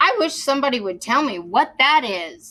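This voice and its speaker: A woman puts on a character voice, pitched high with very wide pitch swings, at a moderate pace. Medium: read story.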